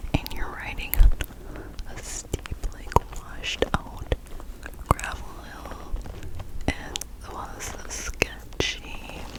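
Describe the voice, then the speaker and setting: Whispering at a very slow pace, with long and frequent pauses, big swings in loudness and noticeable background noise. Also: woman. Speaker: ASMR creator; motorcycle rider. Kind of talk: ASMR whisper ramble. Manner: whispered.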